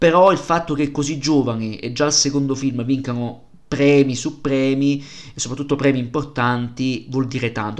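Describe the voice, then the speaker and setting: A man at medium pitch, moderate pace and ordinary pitch variation, with audible room echo. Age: 30s. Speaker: film podcaster. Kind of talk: solo film review podcast.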